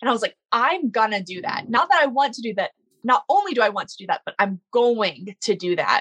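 In a dry, close recording with no echo, a woman with an American accent speaks fairly fast at a fairly high pitch, her voice swinging very widely in pitch and greatly in loudness. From US South, Baton Rouge, Louisiana. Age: 20s. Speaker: para snowboarder. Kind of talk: interview storytelling.

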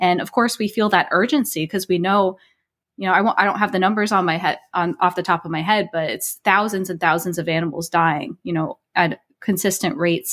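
Here a woman with a plain, everyday voice speaks in an American accent. Her pitch is medium with ordinary variation, and her pace is fairly quick. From New Jersey. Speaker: spiritual life coach. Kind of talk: interview conversation.

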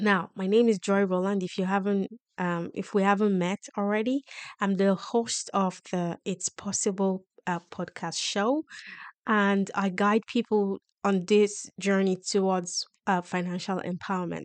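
A woman speaks fairly slowly with a strong Nigerian accent. The sound is dry and close with no echo, and the background is quiet. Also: medium pitch for a woman, fairly even intonation. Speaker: podcast host on personal finance. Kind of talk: motivational solo podcast monologue.

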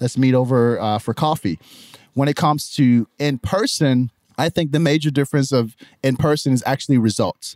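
A man with a normal speaking voice, medium pitch, very even loudness and a moderate pace, in a dry, close sound with no echo. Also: ordinary pitch variation. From Nigeria, Lagos; later UK and Ohio. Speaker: entrepreneur. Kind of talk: interview conversation.

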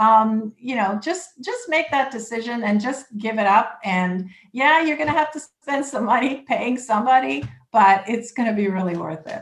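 A woman's intonation is lively as she talks at a moderate pace. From Canada (Toronto). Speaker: immigration lawyer. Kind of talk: interview.

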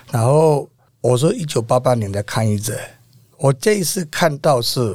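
Somewhat breathy, a man speaks at a medium pitch. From Myanmar. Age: 50s. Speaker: protest organizer and renovation contractor. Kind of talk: interview.

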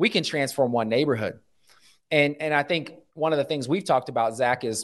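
A normal speaking voice from a man in an American accent, fairly high in pitch with ordinary pitch variation, over a quiet background. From US Midwest, Omaha, Nebraska. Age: middle-aged. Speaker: pastor and nonprofit leader. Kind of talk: casual interview.

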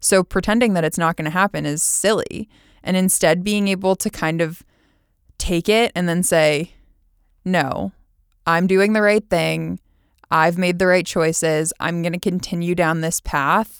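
In a very clean recording with a silent background and a dry, close sound with no echo, a woman with an American accent uses an ordinary speaking voice, fairly low pitch, fairly even intonation and a fairly slow pace. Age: 30s. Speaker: olympic rower and podcast host. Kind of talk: personal monologue.

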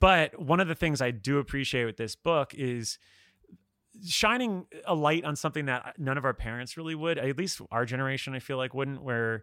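The speech has lively intonation. It moves at a moderate pace. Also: man, medium pitch for a man, fairly bright tone.

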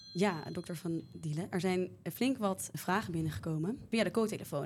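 Vocal fry runs through this fairly quick delivery, which has ordinary pitch variation. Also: woman. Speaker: medical student podcast host. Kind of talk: interview.

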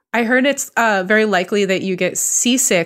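In a normal speaking voice with an American accent, the speaker goes at a fairly quick pace with ordinary pitch variation on a very clean recording with a silent background. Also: woman. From US West Coast (Bay Area, California). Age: 30s. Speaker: cartoonist and TV creator. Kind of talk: casual interview chat.

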